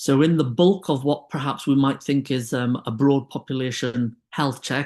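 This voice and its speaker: In a British accent, a man speaks at a medium pitch with a dark, mellow tone. His intonation is fairly even, and the background is quiet. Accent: UK. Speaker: clinician and diabetes expert. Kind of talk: webinar presentation.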